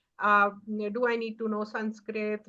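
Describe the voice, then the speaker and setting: With an Indian accent, a woman talks at a fairly high pitch in monotone, flat intonation. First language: Hindi. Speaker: author. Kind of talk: award acceptance speech. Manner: halting, many fillers.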